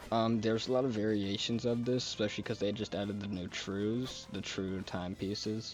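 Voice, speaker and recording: With music in the background, a man of fairly low pitch speaks in a monotone, flat way at a fairly quick pace with hardly any pauses. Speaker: gaming video creator. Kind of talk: gaming tutorial. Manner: halting, many fillers and self-corrections; casual.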